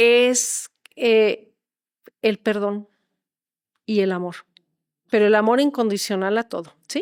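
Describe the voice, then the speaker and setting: A woman with a fairly high pitch speaks very slowly, with long, frequent pauses and fairly even intonation. The sound is dry and close with no echo. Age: 60s. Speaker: holistic therapist. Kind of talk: interview.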